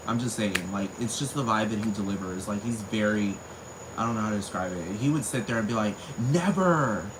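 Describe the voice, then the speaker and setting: With an animated tone and a fairly low pitch, a man talks at a fairly quick pace with ordinary pitch variation over noticeable background noise and audible room echo. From US, Texas (Spring, north Houston), Puerto Rican family. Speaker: vlogger. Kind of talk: casual monologue rant.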